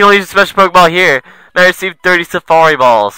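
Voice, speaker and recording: A man's voice sounds dry and close with no echo, with music in the background. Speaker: let's play gamer. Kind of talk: gameplay commentary. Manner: animated.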